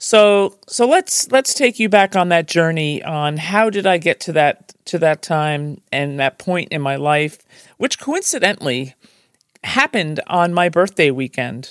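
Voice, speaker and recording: With a New Jersey accent, a woman talks at a fairly slow pace with very wide pitch swings in a dry, close sound with no echo. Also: very clean recording, silent background. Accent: New Jersey American. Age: 60s. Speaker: podcast host. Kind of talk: personal storytelling monologue.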